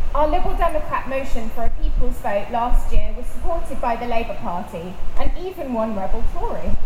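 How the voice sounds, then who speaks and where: A woman with a high-pitched voice speaks at a fairly quick pace with hardly any pauses, her pitch swinging very widely and her loudness rising and falling a lot over noticeable background noise. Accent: British. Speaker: politician, councillor and MEP. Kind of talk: rally speech. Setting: outdoor rally. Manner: emphatic, formal, declamatory.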